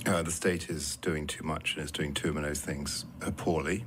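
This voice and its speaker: Through audible room echo, a man with a British accent speaks in a very deep, low pitch at a moderate pace with fairly even intonation. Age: 60s. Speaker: politician. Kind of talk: radio interview.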